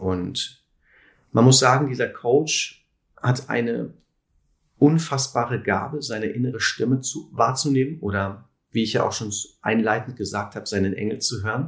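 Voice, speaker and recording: At a moderate pace, a man with a medium pitch speaks somewhat breathily, with ordinary pitch variation and long, frequent pauses. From Sauerland, Germany (Lüdenscheid). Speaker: physiotherapist and alternative practitioner. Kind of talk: interview.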